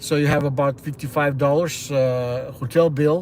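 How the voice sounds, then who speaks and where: This man has a Russian accent and a fairly high pitch. His intonation stays monotone and flat. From Ukraine. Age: 60s. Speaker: livestreamer. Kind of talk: casual live-stream monologue. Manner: halting.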